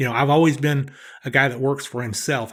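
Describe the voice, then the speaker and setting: In a Southern US accent, a man speaks with monotone, flat intonation over a very clean recording with a silent background. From US Southeast. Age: 60s. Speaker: professional blackjack player. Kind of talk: podcast interview.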